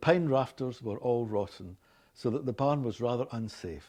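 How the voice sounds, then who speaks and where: A man speaks in a Glaswegian accent with a dark, mellow tone and medium pitch. His intonation is lively, and the background is quiet. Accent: Scottish, Glaswegian. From Glasgow, Scotland. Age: 60s. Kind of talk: scripted reading of a passage and word lists.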